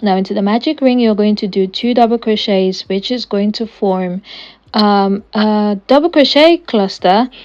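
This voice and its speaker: A woman's unremarkable speaking voice, fairly high in pitch, with ordinary pitch variation at a moderate pace. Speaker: crochet tutorial creator. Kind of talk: tutorial.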